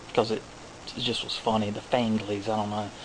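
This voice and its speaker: Noticeable background noise sits behind this man. He speaks at a fairly quick pace. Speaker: horror DVD collector vlogger. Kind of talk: casual DVD haul video. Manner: halting, many fillers.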